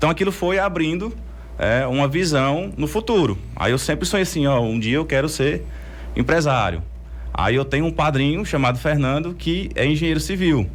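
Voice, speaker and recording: A man speaks at a moderate pace with very even loudness. Room echo is audible. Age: 30s. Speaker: entrepreneur. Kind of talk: interview.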